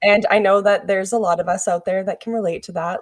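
A woman with a plain, everyday voice talks at a fairly quick pace, her pitch medium and its variation ordinary, on a very clean recording with a silent background and a dry, close sound with no echo. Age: 20s. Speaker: podcast co-host. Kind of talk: casual chat. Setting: studio.

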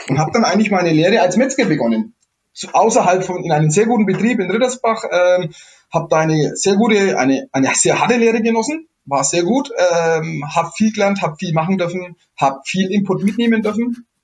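A man with a Franconian accent talks fairly quickly at a high pitch, his intonation lively. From Middle Franconia, Germany. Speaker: chef and innkeeper. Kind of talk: casual interview. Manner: halting, many repetitions.

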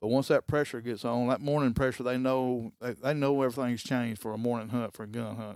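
In an Alabama accent, a man speaks at a very fast pace with hardly any pauses. His medium-pitched voice has monotone, flat intonation. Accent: US Southern (Alabama). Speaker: hunter. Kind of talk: casual interview. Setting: trophy room.

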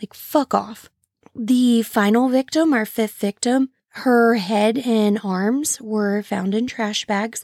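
A woman with an American accent and a fairly high pitch, her intonation fairly even, in a very clean, dry, close recording with no echo and a silent background. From St. Louis area, Illinois side. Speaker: true crime podcast host. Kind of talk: casual solo podcast narration. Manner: casual, chatty.

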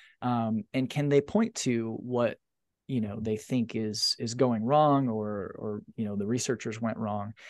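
A man with a normal speaking voice and a medium pitch talks at a moderate pace with fairly even intonation over a quiet background. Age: 40s. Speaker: sociology professor. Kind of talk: interview conversation.

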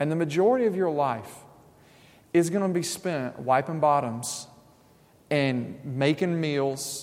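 Using an ordinary speaking voice, a man with a fairly high pitch talks at a fairly slow pace with lively intonation. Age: 30s. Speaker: pastor. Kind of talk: sermon.

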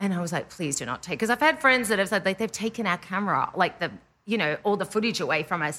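A woman with an Australian accent talks at a very fast pace, her medium-pitched voice swinging very widely in pitch. Her tone is bright and sharp. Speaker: indie pop musician. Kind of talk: casual chat.

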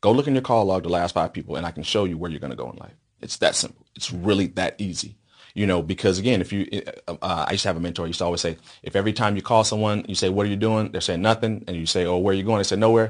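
Very fast speech from a fairly low-pitched man with an American accent, over a quiet background. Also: ordinary pitch variation. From Las Vegas, Nevada, US. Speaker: entrepreneur. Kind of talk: interview.

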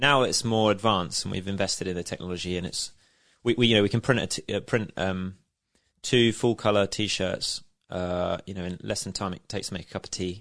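Talking at a fairly quick pace, a man with a southern English accent has a fairly low pitch and ordinary pitch variation against a quiet background. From Isle of Wight, southern England. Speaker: business founder. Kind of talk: interview. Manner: hesitant, with fillers and restarts.

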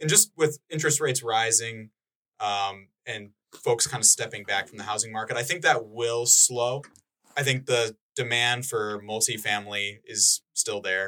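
Speaking with an Upper Midwest US accent, a man has a bright, sharp tone, a medium pitch, ordinary pitch variation and a moderate pace. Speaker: economic development specialist. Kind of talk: casual chat.

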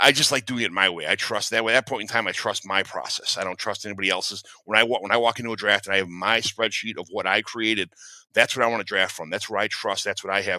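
Recorded very cleanly against a silent background, a man speaks at a very fast pace and a fairly low pitch with fairly even intonation, the sound dry and close with no echo. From US Midwest, Chicago. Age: 40s. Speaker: construction worker, fantasy football analyst. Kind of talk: casual chat. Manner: halting, repeats words.

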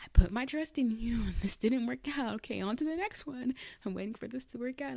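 This woman's pitch swings very widely as she speaks. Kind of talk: devotional talk. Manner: casual, rambling.

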